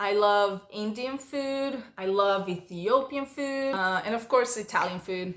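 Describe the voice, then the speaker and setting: With a Portuguese accent, a woman speaks at a fairly slow pace in a fairly high voice. Her tone is animated and her intonation lively. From Brazil. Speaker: vlogger. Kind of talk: casual Q&A vlog.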